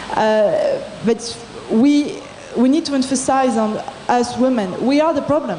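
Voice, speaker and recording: A high-pitched woman's voice at a fairly slow pace, with noticeable background noise and audible room echo. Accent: French. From France. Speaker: entrepreneur in audience. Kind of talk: audience comment at panel. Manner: halting.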